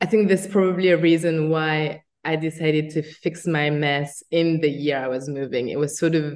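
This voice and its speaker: A woman with a French accent speaks at a moderate pace with hardly any pauses. Her pitch is very deep and low, and her intonation fairly even. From France. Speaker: agency founder. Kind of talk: interview.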